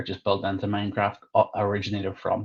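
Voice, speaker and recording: The voice is somewhat breathy and moves at a fairly quick pace. The background is quiet. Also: man. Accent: Northern Irish. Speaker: product manager and coding trainer. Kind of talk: conference presentation. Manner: hesitant with fillers.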